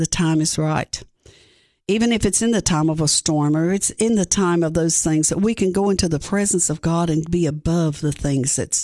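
A dark, mellow tone in an Appalachian Tennessee accent, with ordinary pitch variation and a moderate pace against a quiet background. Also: woman. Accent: Southern US (Appalachian Tennessee). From East Tennessee (Greene County). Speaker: pastor. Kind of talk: sermon-style devotional; radio interview.

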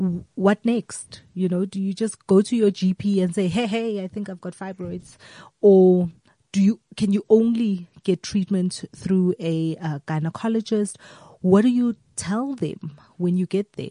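A woman speaks at a medium pitch. Her tone is dark and mellow, and somewhat breathy. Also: fairly slow pace, dry, close sound with no echo. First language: a South African language other than English. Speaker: radio host. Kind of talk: interview. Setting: studio. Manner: animated.

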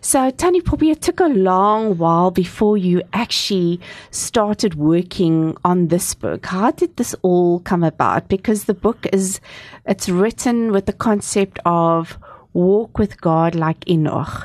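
A woman uses a normal speaking voice at a medium pitch and fairly slow pace, her loudness very even. The sound is dry and close with no echo, over a quiet background. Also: ordinary pitch variation. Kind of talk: radio interview. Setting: studio.

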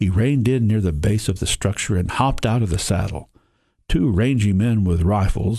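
Over a quiet background, the reading voice sounds natural.

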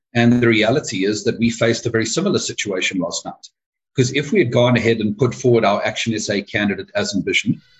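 At a fairly quick pace, a man speaks in a somewhat breathy voice at a medium pitch. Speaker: party chairperson. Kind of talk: interview.

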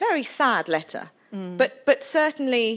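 A woman speaks with an English accent. Her pitch swings very widely. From England. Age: 40s. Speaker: author. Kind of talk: festival talk interview.

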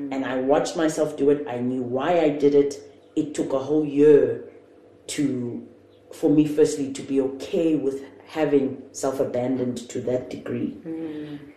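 A woman speaks at a fairly slow pace in a very deep, low voice with flat, monotone intonation. Noticeable background noise and audible room echo fill the recording. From South Africa, Johannesburg. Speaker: entrepreneur. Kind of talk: casual chat. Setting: at home.

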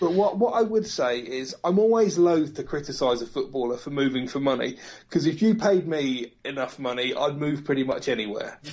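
With an unremarkable speaking voice, a man talks fairly quickly in a fairly high pitch, his intonation lively and hardly any pauses in between. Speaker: football commentator. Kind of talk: casual chat.

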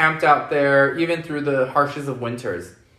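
A man with a fairly high voice speaks amid audible room echo. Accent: American. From US West Coast, Los Angeles. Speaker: drag queen and events manager. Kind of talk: interview.

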